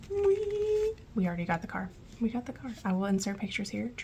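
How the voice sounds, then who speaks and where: A soft-spoken woman talks at a very fast pace over noticeable background noise. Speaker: budgeting vlogger. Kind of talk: casual tutorial vlog. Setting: at home. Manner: soft-spoken, quiet.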